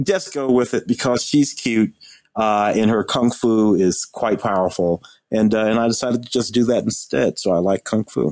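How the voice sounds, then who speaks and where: The speaker is a man. He talks at a moderate pace. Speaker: podcast co-host, film critic. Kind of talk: casual chat.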